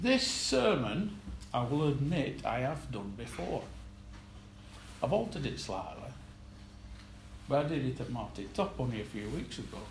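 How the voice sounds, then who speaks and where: Amid audible room echo, a man speaks at a moderate pace with very wide pitch swings and long, frequent pauses. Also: medium pitch for a man. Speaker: lay preacher. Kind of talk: sermon. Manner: soft-spoken; halting.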